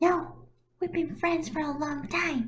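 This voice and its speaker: Putting on a squeaky character voice, a woman speaks high in pitch and at a fairly slow pace. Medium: read story.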